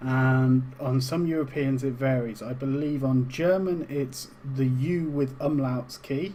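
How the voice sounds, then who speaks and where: A man's very slow, dark, mellow voice at a medium pitch, with a British accent and fairly even intonation. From UK. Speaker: game tutorial streamer. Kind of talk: tutorial. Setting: live stream. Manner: casual, with fillers.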